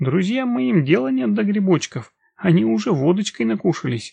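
Using a put-on character voice, a man talks at a moderate pace and high pitch, with lively intonation, vocal fry, a slightly husky edge and a dark, mellow tone.

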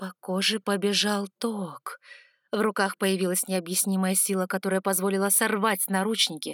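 An unforced reading voice sits against a quiet background.

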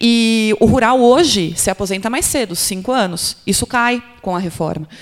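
With lively intonation and a fairly slow pace, this is an ordinary speaking voice. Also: woman. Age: 30s. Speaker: labor lawyer and professor. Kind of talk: panel discussion. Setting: stage with audience.

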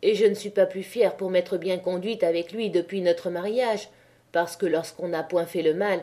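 The clip is plain reading aloud. Its pitch variation is ordinary.

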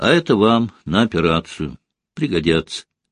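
The background stays quiet. The speaker uses an unforced reading voice.

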